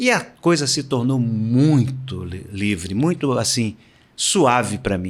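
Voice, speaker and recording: There is music in the background. A man speaks with very wide pitch swings. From Brazil, Salvador, Bahia. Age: 70s. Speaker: retired swimmer and swimming coach. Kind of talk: interview.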